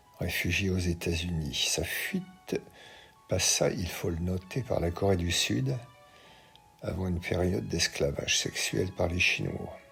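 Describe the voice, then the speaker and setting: A man speaks at a very slow pace in a very deep, low voice. Music plays behind him. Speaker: opinion columnist. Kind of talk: read opinion commentary.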